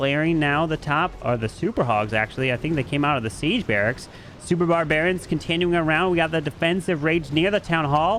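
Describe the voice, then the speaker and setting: A man keeps a fairly quick pace and ordinary pitch variation while noticeable background noise carries on behind him. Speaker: esports caster. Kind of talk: live commentary. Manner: fast; animated.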